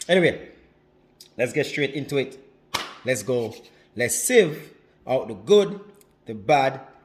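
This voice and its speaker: Speaking with a Jamaican accent, a man with an animated tone and lively intonation talks at medium pitch, somewhat breathy, with long, frequent pauses and audible room echo. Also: fairly slow pace. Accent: Jamaican, drops some H's. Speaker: relationship advice vlogger. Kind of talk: casual vlog monologue. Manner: animated, repetitive.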